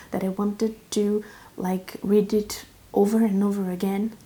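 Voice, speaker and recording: A woman with a non-native accent speaks at medium pitch. Her voice is somewhat breathy, with a dark, mellow tone. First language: not English. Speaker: book reviewer. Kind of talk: book review talk. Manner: casual, frequent fillers.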